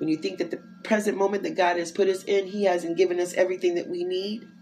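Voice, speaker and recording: A woman's medium-pitched voice with an American accent at a fairly quick pace, over music in the background. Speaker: inspirational podcaster. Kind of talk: devotional monologue. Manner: casual, conversational.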